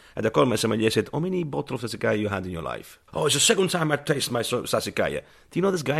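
In an Italian accent, the speaker talks at a very fast pace with vocal fry and very wide pitch swings, on a very clean recording with a silent background. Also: man. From southern Italy. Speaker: chef. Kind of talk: round-table discussion.

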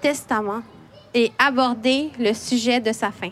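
In a Quebec accent, a woman speaks with a high pitch and fairly even intonation. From Quebec, Montreal. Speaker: poet and children's author, editor. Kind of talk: prepared talk read aloud. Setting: library event with live audience.

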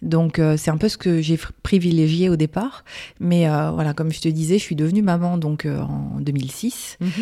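With noticeable background noise behind her, a woman of fairly low pitch speaks at a moderate pace and with fairly even intonation. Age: 40s. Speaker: graphic designer and business owner. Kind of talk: interview. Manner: hesitant, many fillers.

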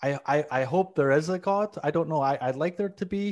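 Speaking at a moderate pace with a Scottish accent, a man has a fairly high pitch and ordinary pitch variation in a very clean recording with a silent background. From Scotland, Glasgow. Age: 40s. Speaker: comedian. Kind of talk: casual chat.

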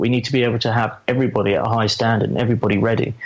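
A man speaks over noticeable background noise. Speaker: football fan. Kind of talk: casual chat.

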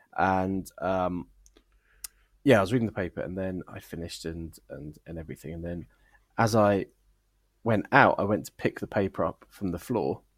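In a dry, close recording with no echo, a man with a very deep, low pitch speaks with ordinary pitch variation, long and frequent pauses, and big swings in loudness. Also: moderate pace. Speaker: podcast host. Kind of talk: casual banter, comedy review show.

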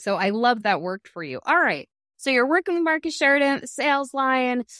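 A woman's voice, dry and close with no echo, against a quiet background. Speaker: podcast host. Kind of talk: interview intro and chat. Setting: video podcast.

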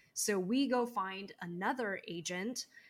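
A woman speaks at a very slow pace in an American accent. Her pitch sits in the medium range. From Los Angeles. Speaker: actress and audio performer.

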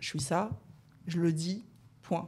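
A woman talks in a fairly low pitch. Her tone is dark and mellow. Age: 30s. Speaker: guest sharing coming-out story. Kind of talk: casual chat.

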